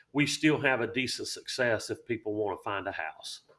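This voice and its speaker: At a moderate pace, a man with a Southern accent speaks on a very clean recording with a silent background. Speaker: realtor. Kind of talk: casual chat.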